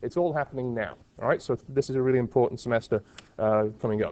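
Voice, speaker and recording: With a Liverpool accent, the speaker talks very fast with ordinary pitch variation. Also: man. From England (Liverpool). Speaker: university professor. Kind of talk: lecture.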